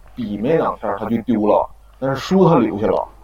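A man at a medium pitch with lively intonation. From Heilongjiang, Harbin Hulan district. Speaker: university student storyteller. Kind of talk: storytelling. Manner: halting. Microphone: echo in places.

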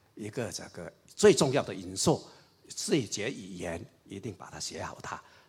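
Somewhat breathy speech at a moderate pace, with lively intonation and big swings in loudness. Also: man. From Raoping, Chaozhou area, eastern Guangdong. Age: 60s. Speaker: party historian and writer. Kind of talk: public lecture dialogue.

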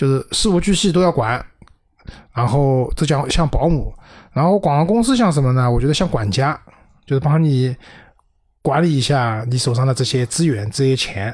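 A man's somewhat breathy, medium-pitched voice at a moderate pace, with ordinary pitch variation, in a very clean recording with a silent background. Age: 40s. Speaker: PR professional. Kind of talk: casual chat.

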